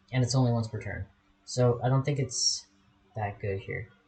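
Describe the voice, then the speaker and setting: With ordinary pitch variation, a man speaks at a medium pitch in a somewhat breathy voice. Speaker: gaming YouTuber. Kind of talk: gameplay commentary. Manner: fast; casual, rambling with fillers.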